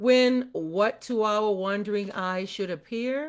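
In an unforced reading voice, the speaker uses ordinary pitch variation.

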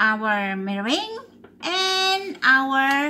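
A woman speaks here. Her voice is raised and projected. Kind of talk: tutorial. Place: kitchen. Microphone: phone near.

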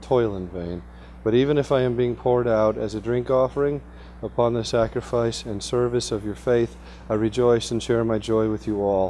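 Speaking at a moderate pace with fairly even intonation, a man is heard over light background noise. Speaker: presenter. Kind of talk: lecture. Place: meeting room.

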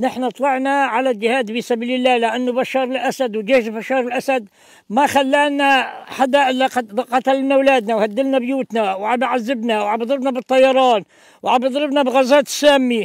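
An extremely high-pitched man's voice with fairly even intonation, a moderate pace, and a dry sound with no echo over a quiet background. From Syria, Jabal al-Zawiya (Idlib countryside); Syria. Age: 70s. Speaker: elderly rebel fighter; interviewee. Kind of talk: interview testimony. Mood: earnest, grievance-filled. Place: open country. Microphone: lapel.

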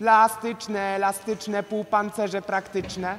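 A put-on character voice, raised and projected, sing-song yet monotone and flat in intonation, with a fairly high pitch and a moderate pace. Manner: monotonous, sing-song calling.

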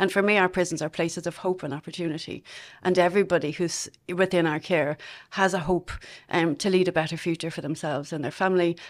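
A woman with a Dublin accent talks at a very fast pace. Her intonation stays fairly even against a quiet background. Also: fairly low pitch for a woman. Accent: Dublin Irish. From Dublin, Ireland; Ireland. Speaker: prison service director. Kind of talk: interview. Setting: studio. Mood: proud, hopeful. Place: studio. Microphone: studio mic.

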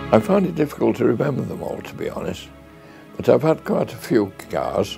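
With a Yorkshire accent, a man talks at a moderate pace over clear music in the background. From Sheffield, England. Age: 80s+. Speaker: car and tractor collector. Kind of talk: interview answer. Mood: fond, reminiscing. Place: office.

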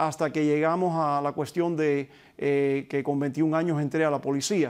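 A man speaks at a fairly slow pace. His voice is fairly high in pitch. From Cuba (Pinar del Río), raised in Hialeah, Florida; Cuba. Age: 50s. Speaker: retired police officer and book co-author; guest. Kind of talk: interview. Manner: halting with many fillers. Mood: calm, reflective storytelling. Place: studio. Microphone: lapel.

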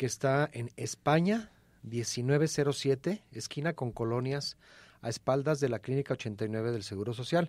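With a quiet background and a dry sound with no echo, a man speaks at a very slow pace with ordinary pitch variation. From Mexico. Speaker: radio co-host. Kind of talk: radio health call-in show. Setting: radio studio. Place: studio.

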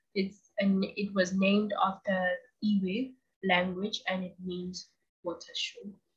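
A somewhat breathy woman at a very slow pace against a quiet background. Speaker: video channel host. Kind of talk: educational monologue. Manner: enthusiastic. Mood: casual, light humour. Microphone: webcam.

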